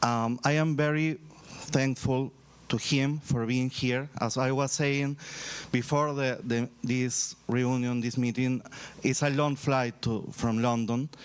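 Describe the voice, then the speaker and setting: A man with a Spanish accent speaks very slowly at medium pitch, his loudness very even and his intonation monotone and flat. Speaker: university vice-rector. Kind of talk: ceremony speech. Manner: halting.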